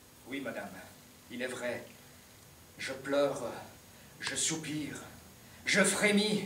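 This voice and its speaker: A man talks at a very slow pace with big swings in loudness. There is audible room echo and light background noise. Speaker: stage actor playing an emperor. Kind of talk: declaimed verse drama. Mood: grave, sorrowful resolve. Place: stage. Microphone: camera far.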